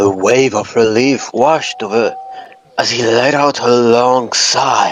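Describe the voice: The speaker offers plain reading aloud.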